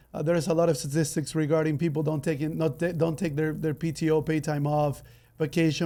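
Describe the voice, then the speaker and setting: A man with a Spanish accent speaks at a fairly high pitch in a dark, mellow tone. His intonation stays fairly even on a very clean recording with a silent background. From Ecuador. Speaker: podcast host. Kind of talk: interview podcast. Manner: halting, many fillers.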